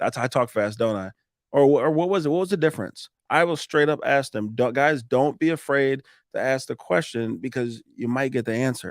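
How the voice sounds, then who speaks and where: In a very clean recording with a silent background and a dry, close sound free of echo, a man speaks at a fairly quick pace with an animated tone, medium pitch and ordinary pitch variation. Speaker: roofing contractor. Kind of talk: casual chat. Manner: fast.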